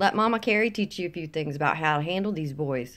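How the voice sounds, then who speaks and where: Someone speaks with lively intonation in a Southern US accent on a very clean recording with a silent background. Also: woman. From US South. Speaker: vlogger. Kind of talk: casual opinion vlog. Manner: animated.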